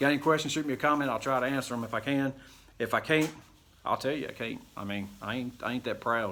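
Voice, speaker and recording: This man talks at a very fast pace in a medium pitch, with a bright, sharp tone and ordinary pitch variation. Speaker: woodworking YouTuber. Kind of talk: tutorial. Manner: casual, rambling.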